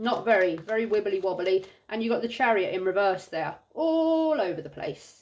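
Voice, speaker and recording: This loud, animated voice moves at a moderate pace with very wide pitch swings. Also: woman, medium pitch for a woman. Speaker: tarot reader. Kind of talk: tarot reading.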